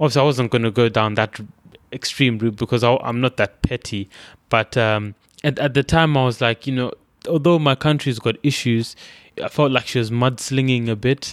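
With a Zimbabwean accent, a man talks at a moderate pace and medium pitch with fairly even intonation, in a dry, close sound with no echo on a very clean recording with a silent background. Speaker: immigrant former student. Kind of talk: storytelling interview. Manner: hesitant, many fillers and repetitions.

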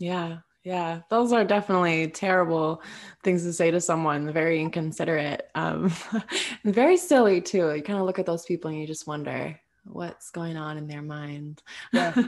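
Her fairly low pitch and ordinary pitch variation mark a woman with an unremarkable speaking voice, talking at a moderate pace. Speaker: podcast host. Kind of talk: scripted intro then interview chat. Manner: warm, effusive.

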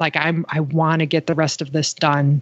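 At a moderate pace, a woman talks at a fairly low pitch in an unremarkable speaking voice. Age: 40s. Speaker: blogger in addiction recovery. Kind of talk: personal testimony in interview.

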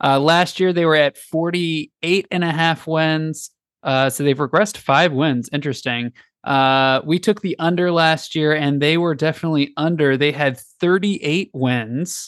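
In a plain, everyday voice, a man speaks at a moderate pace and fairly high pitch with ordinary pitch variation, the sound dry and close with no echo over a quiet background. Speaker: podcast host. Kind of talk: casual chat.

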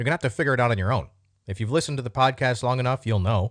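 The surroundings are quiet. A male voice talks. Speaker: podcast host and military veteran. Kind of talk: casual solo monologue. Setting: home recording with new microphone. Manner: casual, off the cuff.

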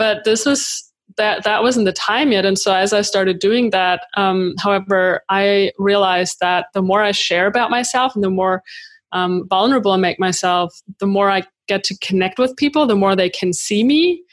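In a German accent, a woman speaks at a moderate pace with ordinary pitch variation and very even loudness. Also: medium pitch for a woman. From Germany. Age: 30s. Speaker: creative entrepreneur and YouTuber. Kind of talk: interview. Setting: remote call from home.

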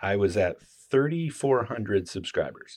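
The speaker has an unremarkable speaking voice with lively intonation at a fairly slow pace. The background is quiet. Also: man. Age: 50s. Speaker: knife maker and YouTuber. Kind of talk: casual chat.

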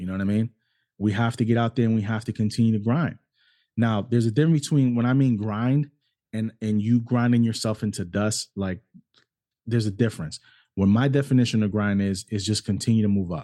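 A man with an American accent speaks at a fairly quick pace with long, frequent pauses and fairly even intonation, in a dark, mellow tone. The sound is dry and close with no echo, in a very clean recording with a silent background. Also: medium pitch for a man. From New York City and Cleveland, Ohio. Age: 40s. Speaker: podcast host. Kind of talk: solo monologue.

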